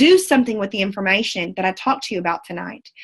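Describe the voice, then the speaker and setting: Here is a woman with a Southern US accent and an animated tone. Her voice is somewhat breathy. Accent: southern drawl. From Central Texas. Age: 20s. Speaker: network marketing leader. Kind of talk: motivational talk. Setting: video call.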